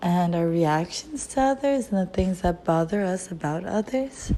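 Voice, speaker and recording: A woman speaks at a fairly slow pace in a dark, mellow tone, her intonation lively. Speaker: lifestyle vlogger. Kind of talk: casual monologue. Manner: halting, stumbling over words.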